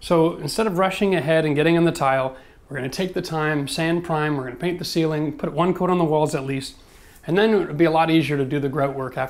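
Speaking at a very fast pace, a man keeps his intonation fairly even. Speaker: renovation contractor. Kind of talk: tutorial. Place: bathroom. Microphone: lapel.

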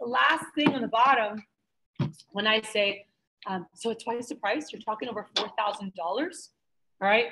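Amid noticeable background noise, a woman with an American accent speaks in a bright, sharp, animated tone at a fairly high pitch, leaving long, frequent pauses. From Houston, Texas. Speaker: sales trainer. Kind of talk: sales training lecture. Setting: room with live audience. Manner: fast talker. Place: meeting room. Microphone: webcam.

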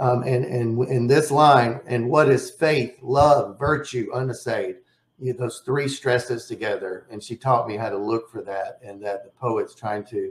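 At a fairly slow pace, a somewhat breathy voice shows ordinary pitch variation and big swings in loudness, with audible room echo. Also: man. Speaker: poet and poetry publisher. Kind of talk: lecture. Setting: video webinar. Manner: enthusiastic. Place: home room. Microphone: webcam.

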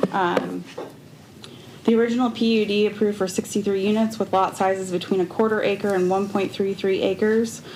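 Over noticeable background noise and audible room echo, a woman speaks at a medium pitch and a fairly quick pace, with monotone, flat intonation and very even loudness. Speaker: resident speaking at public comment. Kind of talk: public comment at council meeting. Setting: city council meeting.

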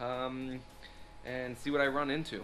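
Light background noise is present. The voice belongs to a man. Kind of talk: casual vlog chat. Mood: relaxed, amused. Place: garage. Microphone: phone near.

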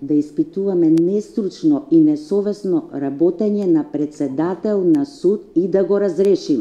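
A woman talks at a fairly slow pace in a dark, mellow tone. Her intonation is lively. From North Macedonia. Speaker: judicial council president. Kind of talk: press statement. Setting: press briefing. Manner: formal. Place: meeting room.

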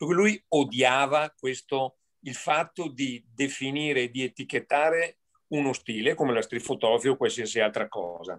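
It is an ordinary speaking voice. Its pace is moderate and its pitch variation ordinary. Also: man, medium pitch for a man. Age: 60s. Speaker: amateur photographer, audience member. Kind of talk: casual chat.

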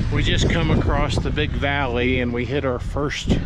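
A man talks at a fairly slow pace against loud background noise, his sound dry with no echo. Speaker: road trip vlogger. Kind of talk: casual vlog chat. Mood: upbeat, relaxed. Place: open country. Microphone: phone near.

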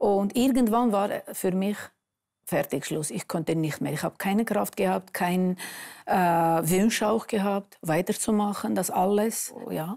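A woman talks at a very slow pace with ordinary pitch variation and a dark, mellow tone. The background is quiet. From Armenia. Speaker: author sharing life story; interview guest. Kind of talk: testimony. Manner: halting. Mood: subdued, recounting painful past. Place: studio.

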